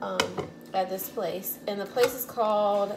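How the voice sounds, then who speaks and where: Fairly even intonation and a fairly slow pace come across over noticeable background noise. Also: woman. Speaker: home cook vlogger. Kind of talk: casual vlog chat. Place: kitchen. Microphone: phone near.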